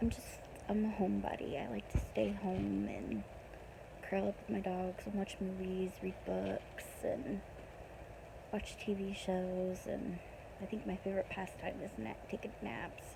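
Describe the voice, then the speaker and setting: A woman with an American accent speaks at a fairly slow pace, leaving long, frequent pauses. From Pennsylvania, US. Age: 20s. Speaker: vlogger. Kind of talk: casual personal vlog. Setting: in bed at midnight. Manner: hesitant, many ums.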